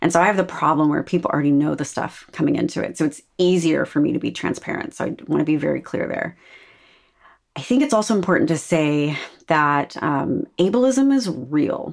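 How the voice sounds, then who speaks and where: In a very clean recording with a silent background, a woman with a very deep, low pitch speaks with lively intonation and vocal fry. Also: fairly quick pace. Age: 40s. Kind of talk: casual chat.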